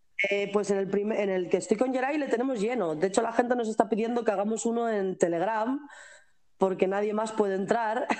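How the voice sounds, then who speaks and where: A woman talks at a fairly quick pace in a fairly high voice. Noticeable background noise can be heard. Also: ordinary pitch variation. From Spain. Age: 20s. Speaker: pastry chef and expat. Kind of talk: interview.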